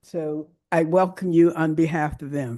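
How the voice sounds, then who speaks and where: At a very slow pace, a woman talks with a dark, mellow tone at a fairly low pitch. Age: 70s. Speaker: breast cancer charity founder. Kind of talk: welcome speech. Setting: church event with audience, livestreamed. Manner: energetic.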